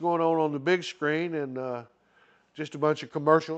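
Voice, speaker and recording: With an Arkansas accent, a man talks at a moderate pace. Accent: Southern US (Arkansas) rural. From Arkansas, US South. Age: 70s. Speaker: retiree vlogger. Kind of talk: casual solo monologue. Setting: indoor club with TV screen. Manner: rambling, halting with fillers.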